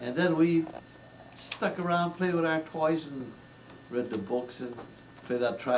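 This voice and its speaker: The man talks at a fairly slow pace with ordinary pitch variation while noticeable background noise carries on. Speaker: grandfather. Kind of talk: interview answer.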